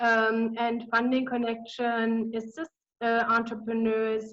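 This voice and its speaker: With a German accent, a woman speaks very slowly at a fairly high pitch. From Germany. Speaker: business consultant. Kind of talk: webinar presentation. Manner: hesitant, many fillers.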